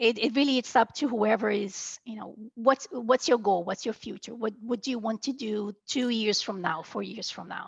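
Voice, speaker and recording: With a Brazilian accent, the speaker talks at a moderate pace in a somewhat breathy voice, showing ordinary pitch variation and big swings in loudness, in a dry, close sound with no echo. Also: woman. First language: Portuguese. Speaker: medical coder. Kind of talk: interview.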